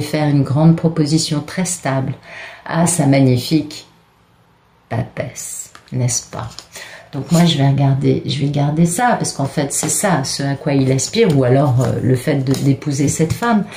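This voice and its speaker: A woman's very deep, low voice at a fairly slow pace, with ordinary pitch variation and noticeable background noise. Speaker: tarot card reader. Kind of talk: tarot reading monologue. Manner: hesitant, many fillers.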